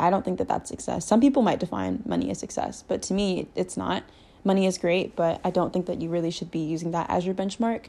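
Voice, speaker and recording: A woman talks at a very fast pace in a fairly low pitch, her dark, mellow tone edged with vocal fry and carrying ordinary pitch variation. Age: 20s. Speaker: podcast host. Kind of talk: casual chat. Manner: casual, filler-heavy.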